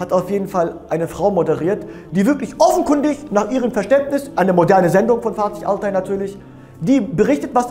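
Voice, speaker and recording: A man speaks at a fairly quick pace. Faint music plays in the background. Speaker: religious lecturer. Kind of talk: sermon. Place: studio. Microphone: lapel.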